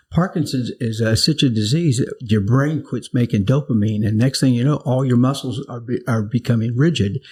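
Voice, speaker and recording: With an American accent, a man talks at a moderate pace and medium pitch, somewhat breathy, with ordinary pitch variation and hardly any pauses. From US South. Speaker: pastor. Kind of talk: interview. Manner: halting.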